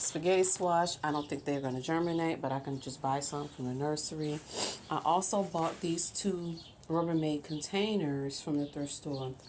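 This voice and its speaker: A woman's very deep, low voice with fairly even intonation at a moderate pace. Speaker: gardening vlogger. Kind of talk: casual video tour. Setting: backyard greenhouse. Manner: hesitant, with many fillers.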